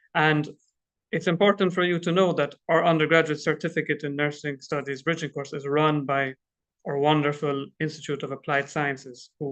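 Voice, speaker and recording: A man with an Irish accent speaks at a fairly high pitch and with fairly even intonation. The background is quiet. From Ireland. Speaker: international student coordinator at a college. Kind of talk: informational presentation. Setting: live online stream.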